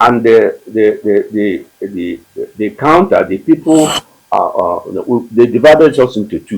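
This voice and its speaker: A man with a Nigerian accent talks at a fairly slow pace. His medium-pitched voice has lively intonation. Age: 80s+. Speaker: war veteran. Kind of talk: interview answer.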